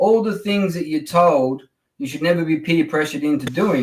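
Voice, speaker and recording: This man has a fairly high pitch. He talks with an Australian accent. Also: very clean recording, silent background. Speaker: guest. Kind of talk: political discussion.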